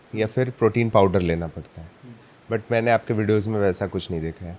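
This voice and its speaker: Ordinary pitch variation from a man at medium pitch. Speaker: podcast host. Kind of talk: interview questions.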